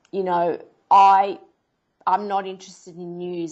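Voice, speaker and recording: The woman speaks with an Australian accent at a fairly low pitch, her intonation monotone and flat. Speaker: investigative journalist and TV producer. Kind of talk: interview answer.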